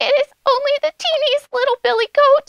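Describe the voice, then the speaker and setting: A woman puts on a character voice at an extremely high pitch, delivering it at a moderate pace. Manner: small, timid.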